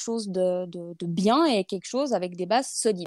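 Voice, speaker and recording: Recorded very cleanly against a silent background, with a dry, close sound and no echo, a woman speaks at a moderate pace with ordinary pitch variation. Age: 30s. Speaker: product and portrait photographer. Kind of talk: casual interview. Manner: hesitant, many fillers.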